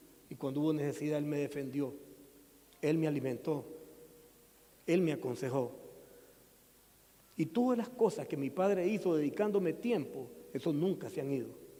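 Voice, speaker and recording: A man talks at a moderate pace with a fairly high pitch. Audible room echo surrounds his voice. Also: long, frequent pauses. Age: 60s. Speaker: pastor. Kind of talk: sermon.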